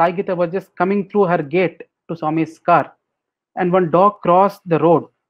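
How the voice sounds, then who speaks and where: Speaking with a Telugu accent, a man uses a high pitch, fairly even intonation, and a fairly quick pace. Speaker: spiritual speaker. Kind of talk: webinar Q&A.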